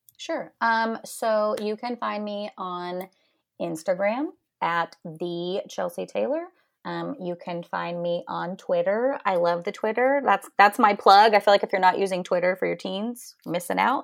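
On a very clean recording with a silent background, a woman talks with an American accent at a fairly slow pace. She has a normal speaking voice at medium pitch, with ordinary pitch variation. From northeastern Oklahoma. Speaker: photographer. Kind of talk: casual interview.

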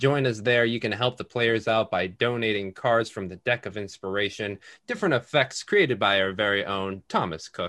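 An ordinary speaking voice from a man at medium pitch, moderate pace and hardly any pauses, with ordinary pitch variation and a dry, close sound with no echo against a quiet background. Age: 50s. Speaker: tabletop game master. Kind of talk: game narration and casual chat.

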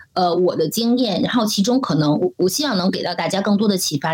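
Noticeable background noise sits behind a woman of medium pitch who speaks at a fairly quick pace with lively intonation. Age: 40s. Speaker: marketing director. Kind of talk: interview conversation.

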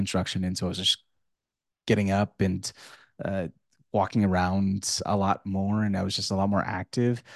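A man is heard in a dry, close sound with no echo against a quiet background. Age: 20s. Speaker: podcaster and content creator. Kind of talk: solo casual monologue. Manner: halting, many restarts and fillers.

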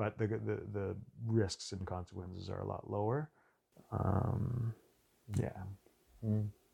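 A man with a Montreal accent talks at a very slow pace with long, frequent pauses, his fairly low pitch carrying vocal fry, a dark, mellow tone and fairly even intonation. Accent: English-speaking Canadian (Montreal). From Montreal, Quebec. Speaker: documentary filmmaker. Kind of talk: casual interview.

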